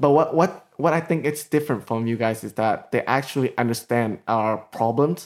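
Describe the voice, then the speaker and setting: A man with a Vietnamese accent speaks at a medium pitch and moderate pace, with ordinary pitch variation and hardly any pauses. The recording is very clean, with a silent background. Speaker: podcast co-host. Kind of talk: casual chat. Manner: halting.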